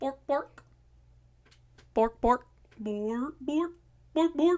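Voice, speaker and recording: A female-sounding put-on character voice speaks at a high pitch. The pace is very slow. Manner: comical gibberish.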